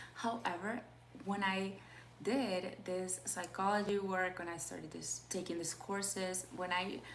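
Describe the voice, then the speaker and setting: Amid noticeable background noise and audible room echo, a woman speaks fairly slowly at a medium pitch with ordinary pitch variation. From Peru. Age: 20s. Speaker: life coach. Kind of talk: live stream talk. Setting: live video call. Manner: halting.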